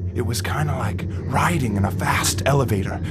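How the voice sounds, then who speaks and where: This is a man's voice. It sounds somewhat breathy. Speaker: narrator. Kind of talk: audio drama narration.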